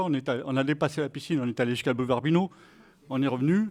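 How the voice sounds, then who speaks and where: The voice belongs to a man with a fairly high pitch. His pitch varies in an ordinary way. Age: 60s. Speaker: deafblind sports program member. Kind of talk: testimony. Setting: evening event with audience at municipal pool. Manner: hesitant, with fillers.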